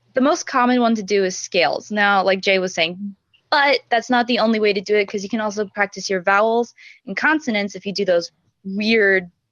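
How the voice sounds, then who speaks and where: A woman talks fairly quickly. Her voice sits at a medium pitch and varies in an ordinary way. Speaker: choir singer. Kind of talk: casual chat. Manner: hesitant, filler-heavy.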